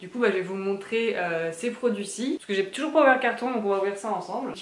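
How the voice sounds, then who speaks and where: A woman at a fairly quick pace, with ordinary pitch variation and audible room echo. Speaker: lifestyle vlogger. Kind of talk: casual vlog chat. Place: kitchen.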